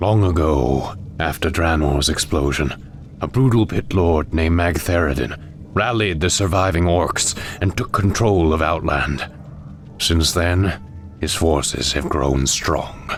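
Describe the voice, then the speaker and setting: A man uses a put-on character voice with a very deep, low pitch, talking at a fairly slow pace over clear background noise. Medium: video game. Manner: grave, commanding.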